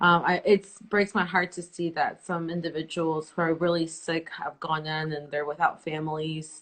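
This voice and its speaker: This woman's fairly low voice stays monotone and flat at a moderate pace, with hardly any pauses. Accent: Spanish. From El Salvador. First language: Spanish. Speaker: interview host. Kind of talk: live interview.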